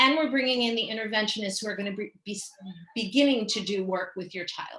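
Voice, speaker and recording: A woman with a New York accent races along at a very fast pace, her pitch fairly high. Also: ordinary pitch variation. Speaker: school special education staff presenter. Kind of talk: parent education presentation.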